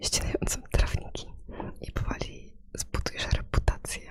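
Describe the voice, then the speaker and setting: Someone is whispering at a fairly slow pace. Noticeable background noise can be heard. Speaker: ASMR gaming streamer. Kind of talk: casual gameplay commentary. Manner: whispered.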